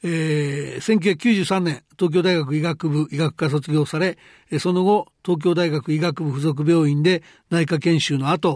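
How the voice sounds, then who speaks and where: A man speaks very slowly at a fairly high pitch, his intonation fairly even, on a very clean recording with a silent background. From Japan, Hyogo Prefecture. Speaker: economic journalist and program host. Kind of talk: interview.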